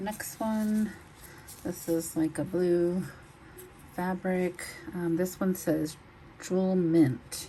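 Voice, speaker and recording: Very slow and with long, frequent pauses, a woman speaks in an American accent. Her pitch is fairly low and her intonation fairly even. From Texas. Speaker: online reseller. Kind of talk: product showcase video. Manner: casual, with fillers.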